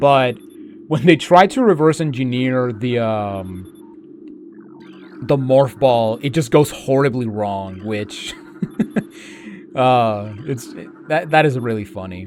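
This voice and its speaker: Over noticeable background noise, a man speaks at a very slow pace with long, frequent pauses and ordinary pitch variation. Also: medium pitch for a man. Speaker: gaming streamer. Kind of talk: gameplay commentary. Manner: soft-spoken; halting.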